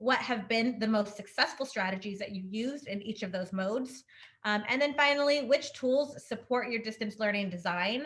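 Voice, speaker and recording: A woman's fairly high voice carries ordinary pitch variation. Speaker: webinar facilitator. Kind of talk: webinar presentation. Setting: video call. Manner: fast.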